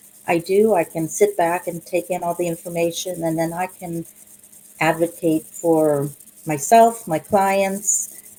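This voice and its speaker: Quiet and calm, the voice moves at a fairly slow pace with fairly even intonation over noticeable background noise. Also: woman, fairly low pitch for a woman. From Pittsburgh. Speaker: real estate agent. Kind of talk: casual interview. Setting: video recording. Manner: soft-spoken; calm and quiet.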